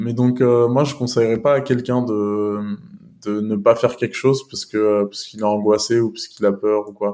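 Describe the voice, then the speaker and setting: A man of medium pitch with a dark, mellow tone, fairly even intonation and a moderate pace. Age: 20s. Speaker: data scientist and startup co-founder. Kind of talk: interview. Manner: halting, many repetitions.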